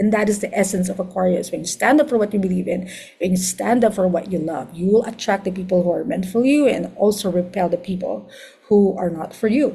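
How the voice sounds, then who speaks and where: A woman with a Filipino accent talks at a very fast pace. Noticeable background noise runs underneath. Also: medium pitch for a woman, ordinary pitch variation. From Philippines. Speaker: astrologer. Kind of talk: lecture.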